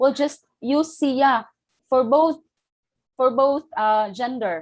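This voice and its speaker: At a very slow pace, a woman with a Filipino accent speaks in a high pitch with lively intonation. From Philippines. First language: Filipino language. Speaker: teacher trainer. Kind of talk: lecture.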